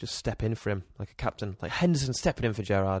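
Here a man is speaking. The recording is very clean, with a silent background. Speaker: podcast co-host. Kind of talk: casual chat. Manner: casual, slightly tipsy banter.

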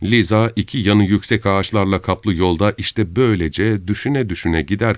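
The speaker reads in an unforced reading voice.

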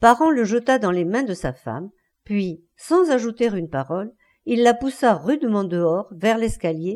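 Against a quiet background, a natural reading voice moves with lively intonation.

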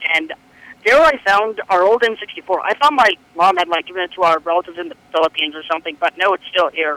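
A high-pitched man with an American accent, very fast delivery, a bright, sharp tone, ordinary pitch variation and a dry, close sound with no echo. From US West Coast. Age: young. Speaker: caller. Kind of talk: casual chat.

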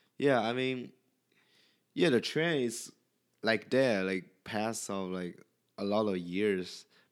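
A man's very slow speech with a Chinese accent, fairly low pitch, and long, frequent pauses. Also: ordinary pitch variation, very clean recording, silent background. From China. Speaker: podcast guest. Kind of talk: casual chat. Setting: at home in the host's apartment. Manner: halting.

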